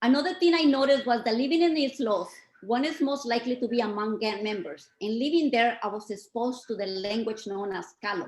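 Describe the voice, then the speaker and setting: A woman talks at a fairly quick pace with a Spanish accent. Her intonation is lively. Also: fairly high pitch for a woman. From Mexico. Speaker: community speaker. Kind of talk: reading aloud. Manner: formal.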